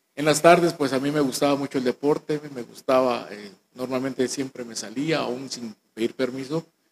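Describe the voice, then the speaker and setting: A man talks in a plain, everyday voice at medium pitch and a moderate pace, with fairly even intonation and hardly any pauses. His loudness swings widely, and the sound is dry and close with no echo. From Guatemala, Guatemala City. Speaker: church minister. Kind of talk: testimony.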